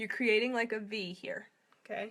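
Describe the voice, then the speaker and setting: This woman has a bright, sharp tone and a fairly high pitch, with an American accent. She talks at a moderate pace in a flat monotone. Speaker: makeup seller and tutorial host. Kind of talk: live makeup tutorial. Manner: casual, chatty.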